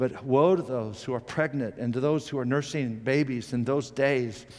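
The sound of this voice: A man at medium pitch, moderate pace, slightly mellow tone and ordinary pitch variation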